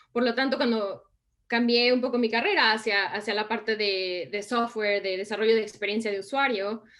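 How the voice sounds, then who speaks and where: In a Mexican accent, a woman talks at a moderate pace with fairly even intonation. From Mexico. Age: 30s. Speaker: design and innovation consultant. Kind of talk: interview.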